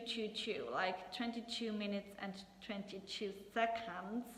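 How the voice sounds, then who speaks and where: Amid audible room echo, a woman speaks at a very slow pace with a fairly high pitch and fairly even intonation. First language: not English. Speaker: astrologer and tarot reader. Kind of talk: casual tarot reading talk to camera. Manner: halting, searching for words.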